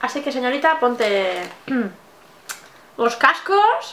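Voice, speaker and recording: A woman projects a raised voice at a very slow pace, with audible room echo and light background noise. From Spain. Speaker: makeup artist and blogger. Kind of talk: casual talk to camera, vlog. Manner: lively, joking, laughing. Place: home room.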